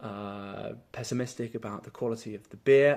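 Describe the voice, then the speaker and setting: A man with an English accent speaks at a moderate pace with fairly even intonation, in a very clean recording with a silent background. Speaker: teacher. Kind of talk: testimony. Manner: halting, many fillers.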